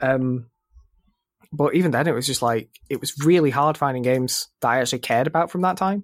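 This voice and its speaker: A man speaks with an unremarkable speaking voice and a fairly high pitch. His pace is fairly quick, with ordinary pitch variation. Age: 20s. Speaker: gaming podcast host. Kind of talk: casual chat.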